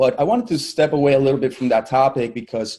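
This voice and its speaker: A man with a Spanish accent and a dark, mellow tone speaks at a fairly quick pace and a fairly high pitch, with ordinary pitch variation, in a very clean recording with a silent background. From Colombia. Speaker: digital marketing agency owner. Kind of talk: virtual summit keynote talk.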